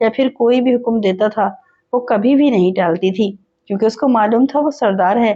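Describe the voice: Someone reads aloud plainly with ordinary pitch variation. The background is quiet.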